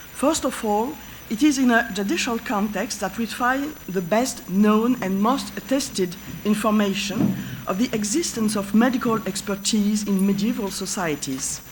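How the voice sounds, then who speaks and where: A woman with a French accent speaks at a fairly slow pace with ordinary pitch variation, amid noticeable background noise and audible room echo. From France. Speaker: professor of history of medicine. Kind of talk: lecture. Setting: conference stage with audience. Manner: halting.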